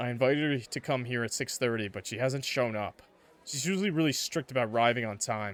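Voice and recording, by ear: The text is read aloud in a natural voice. Pitch varies in an ordinary way.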